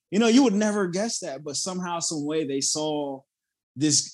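Lively intonation runs through this man's speech in a Southern US accent. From South Carolina, near Charleston. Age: 30s. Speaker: motivational speaker and Marine veteran. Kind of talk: casual interview.

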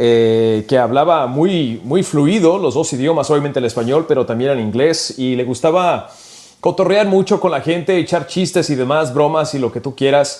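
Here is a man with a plain, everyday voice, fairly high in pitch. He talks at a moderate pace with ordinary pitch variation. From California, Mexican-American family from Michoacán. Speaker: sports radio broadcaster. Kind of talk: casual chat.

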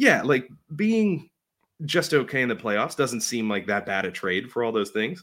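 Recorded very cleanly with a silent background, a man with a Pittsburgh accent speaks at medium pitch and a moderate pace with lively intonation. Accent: western Pennsylvania (Pittsburgh). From Pittsburgh area, western Pennsylvania. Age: 30s. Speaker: baseball superfan. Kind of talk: casual chat. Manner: halting, repeats words.

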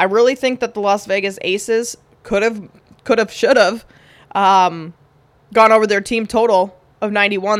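A woman's medium-pitched voice in a Minnesotan accent, fairly even in intonation and moderate in pace, on a very clean recording with a silent background. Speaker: sports betting podcast host. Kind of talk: casual sports betting commentary.

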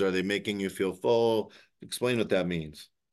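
In an ordinary speaking voice, a man with a fairly low pitch talks at a fairly quick pace with ordinary pitch variation against a quiet background. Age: 50s. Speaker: podcast host, healthcare author. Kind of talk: interview.

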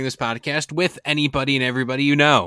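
A man at medium pitch, talking at a very fast pace. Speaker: podcast host. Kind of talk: casual podcast chat. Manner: joking, banter.

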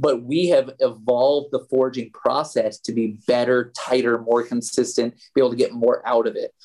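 At a moderate pace, a man with a normal speaking voice speaks at a medium pitch. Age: 40s. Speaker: golf equipment product manager. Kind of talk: interview.

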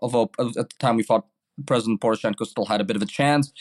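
In a New York accent, a man talks at medium pitch with ordinary pitch variation, his voice dry and close with no echo on a very clean recording over a silent background. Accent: New York American English. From New York City, Brooklyn. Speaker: journalist. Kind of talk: interview.

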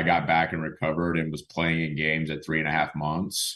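Very deep and low, the man's voice stays flat and monotone. The background is quiet. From Oklahoma. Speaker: former minor league baseball player, nonprofit co-founder. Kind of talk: interview.

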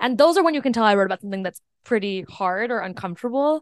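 Very fast and lively in intonation, a woman's fairly high voice comes through with a dry, close sound and no echo. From US, Indian immigrant family. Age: 20s. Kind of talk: casual chat. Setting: video call.

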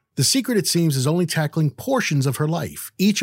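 On a very clean recording with a silent background, a man with a fairly high, somewhat breathy voice talks at a fairly quick pace with very wide pitch swings. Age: 50s. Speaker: podcast host. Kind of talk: interview; scripted narration.

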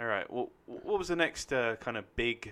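A man with a London accent, bright and sharp in tone, at a moderate pace with ordinary pitch variation. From London, England (New Southgate/Enfield). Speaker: actor. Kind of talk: casual chat; reading aloud.

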